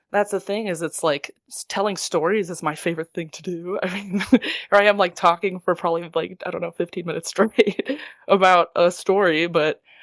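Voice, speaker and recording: In an American accent, a woman speaks with a normal speaking voice at a fairly quick pace, with fairly even intonation, big swings in loudness and a dry, close sound with no echo. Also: medium pitch for a woman. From US Midwest (Michigan border area). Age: 20s. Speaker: opera singer. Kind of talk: interview. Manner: casual, filler-heavy.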